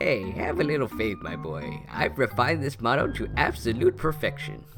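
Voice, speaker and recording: Clear music can be heard behind the speaker. At a moderate pace, the man puts on a character voice. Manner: folksy, jovial.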